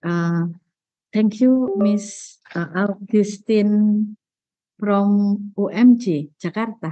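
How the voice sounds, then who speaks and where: A woman of medium pitch speaks very slowly in an Indonesian accent. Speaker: university presenter. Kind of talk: academic presentation. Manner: halting. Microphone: connection lagging.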